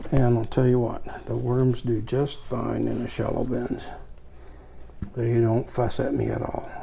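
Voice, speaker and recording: Over noticeable background noise, a man speaks in a relaxed tone. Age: 80s+. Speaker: worm farmer and YouTuber. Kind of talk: casual tutorial. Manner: relaxed, conversational with fillers.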